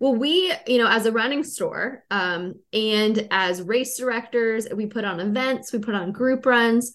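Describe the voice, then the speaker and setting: With an unremarkable speaking voice, a woman speaks at a moderate pace and a fairly high pitch, her pitch varying in an ordinary way over a quiet background. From Western Pennsylvania, Pittsburgh. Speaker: podcast host and running store employee. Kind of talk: casual interview.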